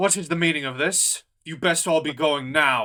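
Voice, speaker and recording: A put-on character voice at a moderate pace. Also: man, fairly high pitch for a man. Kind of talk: role-play character voice. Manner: aggressive, hostile, threatening.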